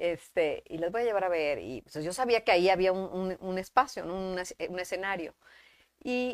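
A woman's unremarkable speaking voice at a medium pitch and moderate pace, with ordinary pitch variation and big swings in loudness, dry and close with no echo, in a very clean recording with a silent background. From Mexico, Monterrey. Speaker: actress. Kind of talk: casual chat. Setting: live stream.

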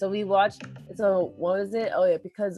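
A woman with an American accent, an ordinary speaking voice at medium pitch and a moderate pace. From US, Boston. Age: 20s. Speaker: working young adult, host's daughter. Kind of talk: casual chat.

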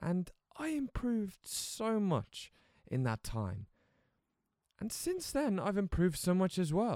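High-pitched male speech in an English accent, dark and mellow in tone, with very wide pitch swings, a fairly slow pace and long, frequent pauses. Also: dry, close sound with no echo. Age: 20s. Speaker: podcaster and creative entrepreneur. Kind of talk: casual solo podcast monologue. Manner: casual, with frequent fillers and restarts.

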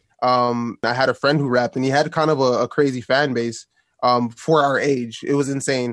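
A man with a Toronto accent speaks in a monotone, flat way at a medium pitch and moderate pace, and the sound is dry and close with no echo. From Toronto, Canada. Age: 20s. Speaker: rapper and producer. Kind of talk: interview.

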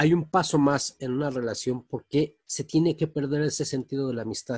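This man's voice is fairly high and somewhat breathy, with ordinary pitch variation. He talks at a moderate pace in a dry, close sound with no echo. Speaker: radio host. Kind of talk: casual chat.

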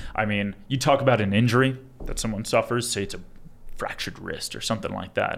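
Speaking at a very fast pace, a man uses a medium pitch with ordinary pitch variation. He has an American accent. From Long Island, New York. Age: 20s. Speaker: attorney. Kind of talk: casual interview.

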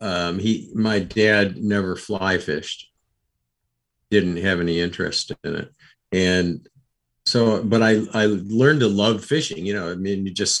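A man with an American accent speaks at a fairly slow pace. His pitch sits fairly low, with ordinary variation. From New York State (Rochester). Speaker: fly fishing expert. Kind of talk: podcast interview. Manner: halting, repeats words.

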